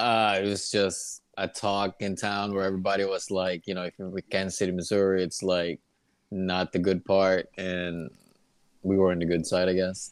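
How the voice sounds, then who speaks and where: A man speaks with an American accent in a very deep, low voice. His intonation is monotone and flat. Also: moderate pace, very clean recording, silent background. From Philippines. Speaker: guest sharing immigration story; hospital worker. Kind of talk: casual interview. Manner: hesitant, many fillers.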